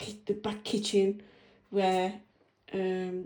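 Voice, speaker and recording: A woman's monotone voice with flat intonation. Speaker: homeowner. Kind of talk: home tour video walkthrough. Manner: hesitant, many fillers.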